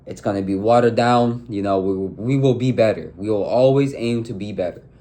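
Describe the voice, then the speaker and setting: A man talks at a moderate pace. His voice sits at a medium pitch. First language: not English. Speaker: relationship advice vlogger. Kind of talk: casual monologue. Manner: halting, with filler words.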